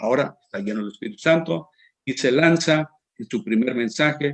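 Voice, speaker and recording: The man's intonation is lively, and his pace stays moderate. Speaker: preacher. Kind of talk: sermon. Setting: online broadcast. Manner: halting, with fillers and restarts.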